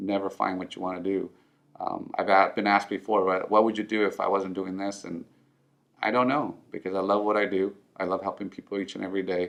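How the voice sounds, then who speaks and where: With a Spanish accent, a man speaks at a fairly low pitch and with fairly even intonation. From Southern California (born in Mexico). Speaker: financial advisor. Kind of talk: personal story interview. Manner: halting with many fillers.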